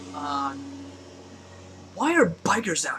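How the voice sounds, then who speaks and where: A man speaks quietly. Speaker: YouTube vlogger. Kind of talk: casual rant to camera. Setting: at home at night.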